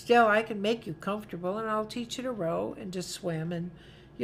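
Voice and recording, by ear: The passage is read aloud in a natural voice, and its pitch varies in an ordinary way.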